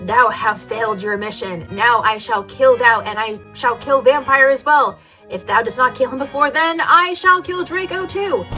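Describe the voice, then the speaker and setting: Over clear music, a woman does a put-on character voice that is raspy and high-pitched, at a moderate pace. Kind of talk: archaic. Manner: evil.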